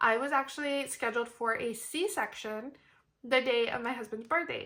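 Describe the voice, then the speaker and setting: A woman with a high, bright and sharp voice speaks in a bubbly tone, raised and projected. Her pace is moderate and her pitch varies in an ordinary way. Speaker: budgeting vlogger. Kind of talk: casual vlog tutorial. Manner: bubbly, energized.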